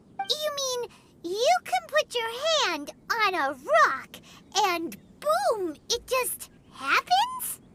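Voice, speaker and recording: In a put-on character voice, someone speaks very slowly at an extremely high pitch. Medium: video game. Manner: eager, chatty.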